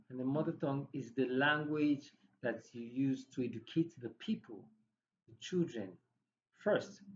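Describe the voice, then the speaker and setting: The speaker's somewhat breathy voice moves with lively intonation at a fairly slow pace, broken by long, frequent pauses. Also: man, fairly high pitch for a man. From Nigeria, Igbo. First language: Igbo. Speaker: podcast host. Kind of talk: casual educational talk.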